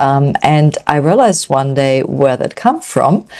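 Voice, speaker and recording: A woman with a German accent speaks at a very deep, low pitch. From Germany. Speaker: nutrition coach. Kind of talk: online event presentation.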